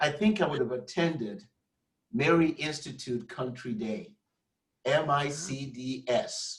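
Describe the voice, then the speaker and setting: Speaking in a Nigerian accent, a man uses lively intonation and a fairly high pitch, sounding somewhat breathy at a fairly slow pace. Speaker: academic leader. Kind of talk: casual chat.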